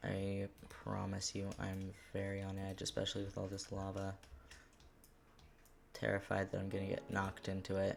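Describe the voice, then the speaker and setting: A quiet man with a fairly low pitch talks at a moderate pace in a flat monotone, leaving long, frequent pauses. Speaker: gaming streamer. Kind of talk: casual gameplay commentary.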